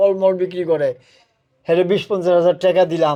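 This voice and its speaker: A man speaks at a high pitch with monotone, flat intonation. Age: 70s. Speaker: interviewee, elderly groom. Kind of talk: street interview.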